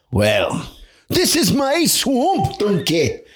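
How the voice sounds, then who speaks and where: A man's put-on character voice with a Scottish accent, at an extremely high pitch. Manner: gruff.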